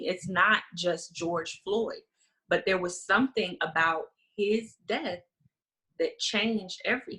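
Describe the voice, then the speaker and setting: At a very slow pace, the voice carries an American accent, a bright, sharp tone and ordinary pitch variation. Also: woman, medium pitch for a woman. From South Carolina Lowcountry. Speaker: funeral director and grief guide. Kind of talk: interview conversation.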